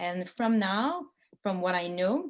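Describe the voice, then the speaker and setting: Against a quiet background, a woman with a Quebec accent speaks at a medium pitch. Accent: French-Canadian accent in English. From Quebec, Montreal. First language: French. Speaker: sailor and former college teacher giving a talk. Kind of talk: presentation to a club. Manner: halting with many fillers.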